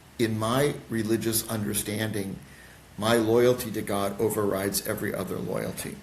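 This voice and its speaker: A man's fairly low, monotone voice with an American accent, flat in intonation, at a moderate pace amid audible room echo. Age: 60s. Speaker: pastor. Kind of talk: podcast interview. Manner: halting.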